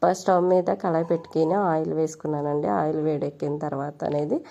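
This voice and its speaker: With a very deep, low pitch and a dark, mellow tone, a woman speaks with ordinary pitch variation. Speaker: cooking vlogger. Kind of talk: cooking tutorial.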